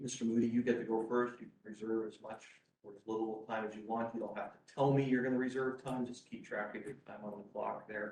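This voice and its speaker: Audible room echo surrounds a man who talks at a fairly quick pace and medium pitch, his intonation monotone and flat while his loudness swings widely. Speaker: appeals court judge. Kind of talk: courtroom oral argument, presiding. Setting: courtroom, live streamed. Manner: loud, by own remark.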